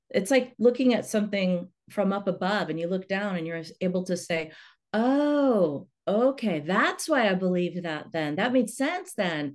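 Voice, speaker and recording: A woman speaks in a normal speaking voice at medium pitch, with lively intonation. Her pace is fairly slow, and the background is quiet. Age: 50s. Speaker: hypnotherapist and coach. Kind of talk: interview.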